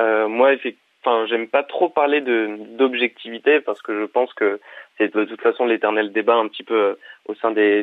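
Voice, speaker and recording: A man talks at medium pitch and a moderate pace. His intonation is fairly even. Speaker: journalism student, founder of student media. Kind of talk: interview. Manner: halting, many hesitations.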